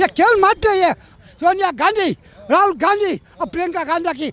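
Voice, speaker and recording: A man speaks in an animated, angry tone with lively intonation. The sound is dry and close with no echo. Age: 80s+. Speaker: voter interviewed on the street. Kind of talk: street interview, heated political opinion.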